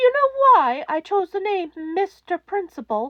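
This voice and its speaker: Squeaky and extremely high in pitch, a woman's put-on character voice leaps through very wide pitch swings. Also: moderate pace. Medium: read story. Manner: soft-spoken, measured.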